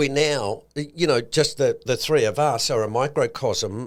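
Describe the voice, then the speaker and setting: A man speaks with an Australian accent and ordinary pitch variation. The recording is very clean and the background silent. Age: 60s. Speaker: podcast co-host, investment commentator. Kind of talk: casual podcast chat.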